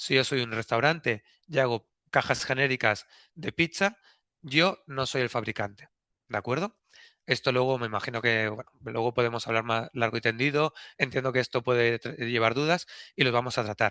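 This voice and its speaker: Ordinary pitch variation runs through a man's speech, which is pitched at a medium level. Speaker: packaging regulation consultant. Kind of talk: webinar presentation. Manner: fast.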